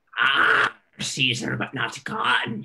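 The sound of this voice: The voice is a raspy, put-on character voice. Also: man, medium pitch for a man.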